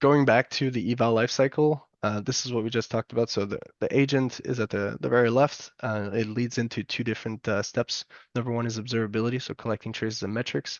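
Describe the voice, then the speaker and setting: A man speaks at a very fast pace. His medium-pitched voice keeps a fairly even intonation. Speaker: software developer. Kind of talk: technical talk. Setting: online event. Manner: halting with fillers.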